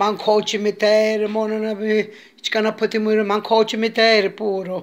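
A woman speaks at medium pitch. Her pace is moderate.

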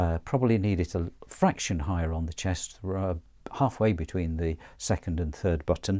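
A man's very deep, low, dark and mellow voice with ordinary pitch variation, at a moderate pace in a quiet background. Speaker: audio gear reviewer. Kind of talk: tutorial. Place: studio. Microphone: lapel.

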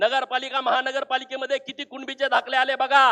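The voice is raised and projected, with a bright, sharp tone and monotone, flat intonation. The sound is dry and close, with no echo. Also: man. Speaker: politician. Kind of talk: political rally speech. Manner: forceful oratory.

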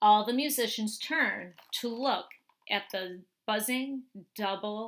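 With ordinary pitch variation, the text is read aloud in a natural voice as the background stays quiet.

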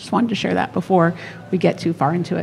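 A woman speaks at a fairly quick pace. Her tone is fairly bright.

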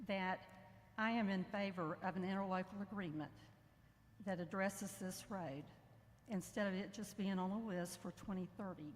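A woman's somewhat breathy, medium-pitched voice with an American accent, fairly even intonation and a moderate pace. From north central Florida. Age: 60s. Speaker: former state representative speaking at public comment. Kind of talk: public comment at government meeting. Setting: public meeting hall, speaking into a mic.

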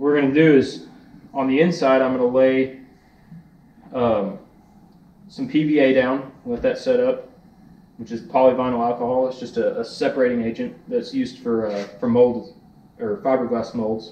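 A man with a dark, mellow tone speaks at a moderate pace with ordinary pitch variation and long, frequent pauses, amid audible room echo. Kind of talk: tutorial. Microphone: camera far.

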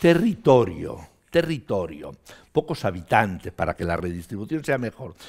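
A man at medium pitch, moderate pace, quiet background. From Spain, Barcelona; Catalonia, Spain. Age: 70s. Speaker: trade union leader. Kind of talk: interview. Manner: talkative. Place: studio. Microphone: headset.

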